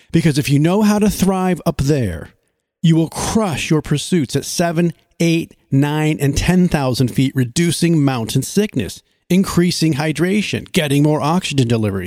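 In an ordinary speaking voice, a man with a fairly high pitch talks at a moderate pace with lively intonation and very even loudness, on a very clean recording with a silent background. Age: 50s. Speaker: podcast co-host. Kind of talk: scripted promo.

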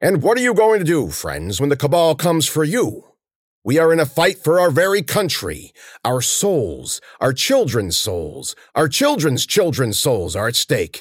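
Putting on a character voice, a man speaks at a fairly high pitch. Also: moderate pace, very clean recording, silent background. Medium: read story. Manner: bombastic, fearmongering, rising in pitch.

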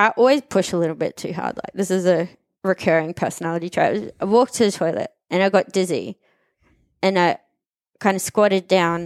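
A woman with an Australian accent talks at a moderate pace in a medium pitch with ordinary pitch variation. The recording is very clean and silent behind her, dry and close with no echo. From Australia, Queensland. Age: 30s. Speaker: journalist and fitness podcast guest. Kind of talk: casual interview. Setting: studio.

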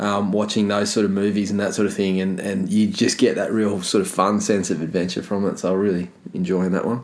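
In an Australian accent, a man speaks at a fairly quick pace with hardly any pauses. His fairly low pitch stays in a monotone, flat intonation. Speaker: movie podcast co-host. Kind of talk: casual chat.

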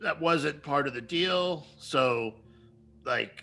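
A man puts on a raspy character voice, fairly high in pitch with ordinary pitch variation. He speaks at a very slow pace. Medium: actual play. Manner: weary, grudging.

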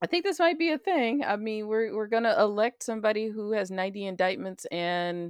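The pitch swings very widely at a fairly quick pace. The sound is dry and close with no echo, and the background is quiet. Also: woman. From US South, Alabama. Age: middle-aged. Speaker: podcast co-host. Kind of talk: casual chat. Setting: remote call between US and UK.

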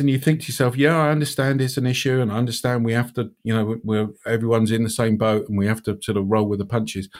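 Here a man with a British accent is heard on a very clean recording with a silent background. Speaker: podcast host. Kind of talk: casual chat.

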